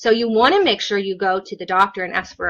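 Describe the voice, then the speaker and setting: Quite quickly, a woman speaks at a medium pitch in a bright, sharp tone. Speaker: occupational therapist. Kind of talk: live stream Q&A. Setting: Facebook Live video stream. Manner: animated.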